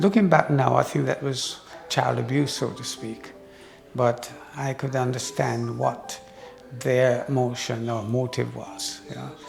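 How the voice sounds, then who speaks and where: A man at a fairly slow pace, with music in the background. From Jamaica. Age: 80s+. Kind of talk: interview answer.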